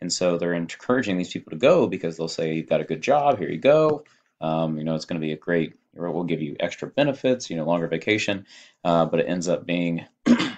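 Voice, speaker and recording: A man talks with a very deep, low pitch and lively intonation. His pace is fairly quick, over a quiet background. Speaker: high school teacher. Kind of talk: lecture. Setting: at home. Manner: soft-spoken.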